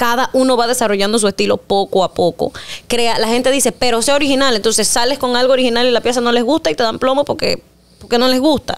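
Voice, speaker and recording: A woman's high-pitched voice with a strong Panamanian accent, a very fast pace and very even loudness. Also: ordinary pitch variation. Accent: Panamanian rural accent, strong. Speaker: singer; interviewee. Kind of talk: interview. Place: studio. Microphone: studio mic.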